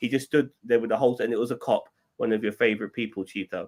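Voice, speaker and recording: This is a man's voice. He speaks with an English accent. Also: dry, close sound with no echo. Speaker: podcast co-host. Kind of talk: casual chat.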